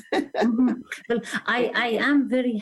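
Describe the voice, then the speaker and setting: A woman speaks with an Iranian accent. Noticeable background noise runs behind her. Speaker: attorney and activist. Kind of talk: interview. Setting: live-streamed show.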